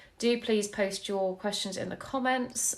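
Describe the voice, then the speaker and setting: A woman speaks at a medium pitch. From mixed US and UK upbringing, mostly UK. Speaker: author and interview show host. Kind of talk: casual chat. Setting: live video call.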